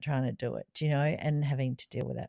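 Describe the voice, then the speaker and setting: A woman's very deep, low voice with a dark, mellow tone and an Australian accent, dry and close with no echo, on a very clean recording with a silent background. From Australia (South Australia). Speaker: podcast co-host. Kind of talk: casual chat.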